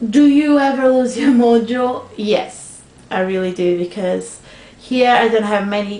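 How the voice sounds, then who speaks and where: Against noticeable background noise, a woman speaks in a fairly high voice. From Portugal. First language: Portuguese. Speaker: craft video blogger. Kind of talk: casual vlog answering tag questions. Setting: at home, sunlight in room. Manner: loud.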